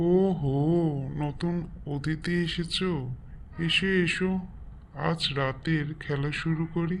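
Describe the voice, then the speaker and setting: Spoken very slowly at a middle pitch, this cartoonish character voice comes with clear background noise. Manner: playful, mischievous.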